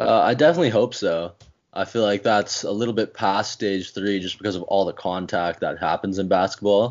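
A man with a Canadian accent and an unremarkable speaking voice, fairly low in pitch with ordinary variation, at a fairly quick pace. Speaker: basketball writer and editor.

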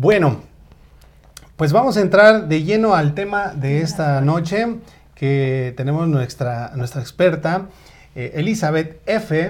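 Pausing long and often, a man talks at a very slow pace in a fairly high voice with lively intonation. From Mexico, State of Mexico. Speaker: online show host. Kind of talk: live talk show. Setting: Facebook live stream.

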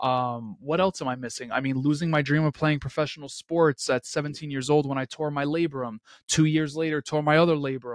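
Fairly high in pitch, a man talks with a New York accent at a fairly quick pace, with hardly any pauses and fairly even intonation. The sound is dry and close with no echo, on a very clean recording with a silent background. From Queens, New York City. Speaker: entrepreneur and podcast host. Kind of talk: interview.

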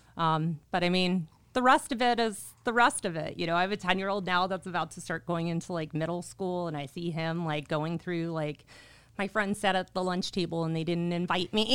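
This is a plain, everyday voice, a woman's, with a fairly low pitch and a fairly quick pace. The recording is very clean, with a silent background. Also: ordinary pitch variation. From Chicago area, Illinois. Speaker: title business development manager. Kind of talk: interview. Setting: studio.

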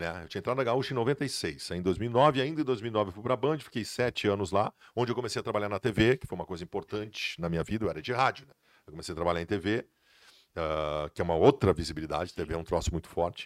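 A man with a fairly low voice talks at a very fast pace with lively intonation. The sound is dry and close, with no echo. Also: big swings in loudness. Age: 40s. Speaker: sports journalist. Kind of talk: casual chat.

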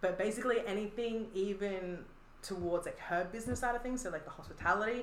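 With an Australian accent, a woman talks at a fairly quick pace amid noticeable background noise and audible room echo. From Australia, Adelaide. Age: 20s. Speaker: artist. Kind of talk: casual chat.

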